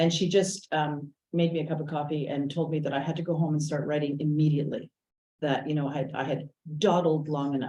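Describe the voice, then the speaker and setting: A woman with a Montreal accent speaks at a fairly quick pace in a very deep, low pitch, her tone dark and mellow and her intonation fairly even. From Quebec, West Island of Montreal. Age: 60s. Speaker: novelist and playwright. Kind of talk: author talk. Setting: small audience in person, partly streamed online. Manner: halting, many fillers.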